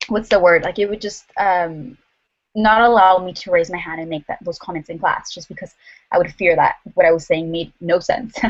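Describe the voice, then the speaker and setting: With a Spanish accent, a woman talks at a moderate pace and medium pitch, her pitch varying in an ordinary way while her loudness swings widely. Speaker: university student. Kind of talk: focus group discussion.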